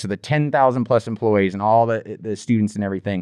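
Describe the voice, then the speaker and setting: Against a quiet background, a man talks at a fairly quick pace and medium pitch. He has an unremarkable speaking voice, with a dry, close sound and no echo. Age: 40s. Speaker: school district media director. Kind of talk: casual interview chat.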